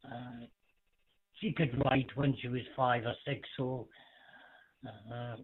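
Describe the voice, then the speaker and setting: With a British accent, a man talks at a very slow pace in a monotone, flat intonation. His pitch is medium, and he leaves long, frequent pauses. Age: 40s. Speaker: amateur radio net control. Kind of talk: radio net chat. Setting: amateur radio.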